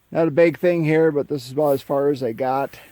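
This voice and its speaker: A dark, mellow male voice at a moderate speed. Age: 60s. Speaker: farmer restoring a tractor, video maker. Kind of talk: casual how-to video with a rant. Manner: halting, many filler words.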